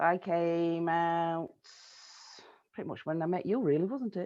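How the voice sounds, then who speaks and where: With a Yorkshire accent, a woman talks at a moderate pace in a fairly low pitch, her tone dark and mellow and her pitch variation ordinary. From South Yorkshire, Sheffield. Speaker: interviewee, community member. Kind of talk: casual interview chat.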